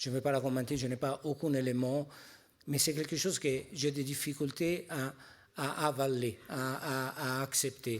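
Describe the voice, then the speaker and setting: Speaking at a fairly slow pace, a man with a fairly high pitch keeps his intonation fairly even in a very clean recording with a silent background. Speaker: pharmaceutical industry executive. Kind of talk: panel discussion. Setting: stage at a conference.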